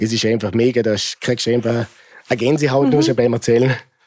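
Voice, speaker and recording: A man speaks at a medium pitch with fairly even intonation. His pace is fairly quick. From Austria, Vorarlberg, Montafon. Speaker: bonfire club member. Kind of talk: interview.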